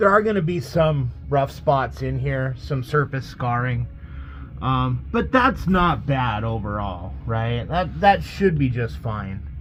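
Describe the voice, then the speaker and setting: Very slow speech with audible room echo. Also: man. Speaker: bowling alley mechanic. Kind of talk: tutorial. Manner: casual, hesitant with fillers.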